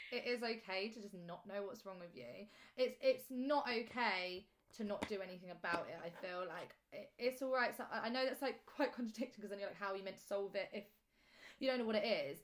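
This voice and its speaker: The woman has an unremarkable speaking voice, fairly high in pitch with ordinary pitch variation. She talks at a fairly quick pace with big swings in loudness. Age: 20s. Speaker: podcast host. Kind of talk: casual chat.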